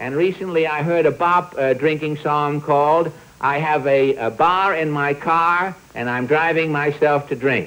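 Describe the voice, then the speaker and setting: A man's unremarkable speaking voice, fairly high in pitch, with fairly even intonation, a fairly slow pace and hardly any pauses. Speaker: comedian, show host. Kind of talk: comic monologue.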